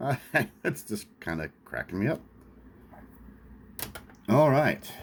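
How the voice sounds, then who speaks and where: A man with an American accent, long and frequent pauses, and big swings in loudness. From Lawrence, Kansas. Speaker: vintage sports card collector. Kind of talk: casual talk to camera.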